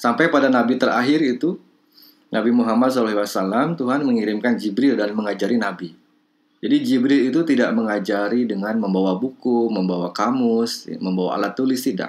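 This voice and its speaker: A man's plain, everyday voice at medium pitch, with ordinary pitch variation and a moderate pace. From Bandung, West Java, Indonesia. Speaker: lecturer in language and literature, also editor and writer. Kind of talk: online lecture to participants. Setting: video call with screen shared. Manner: formal, thoughtful, with filler sounds.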